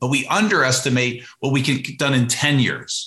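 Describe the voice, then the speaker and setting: Fairly quick and medium-pitched, a man talks in a plain, everyday voice. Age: 50s. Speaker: entrepreneur and business author. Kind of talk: podcast interview.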